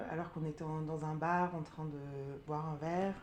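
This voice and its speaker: A woman's fairly low voice with audible room echo. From Burgundy, France. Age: 30s. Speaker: sophrologist sharing testimony. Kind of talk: testimony interview. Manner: hesitant, many fillers.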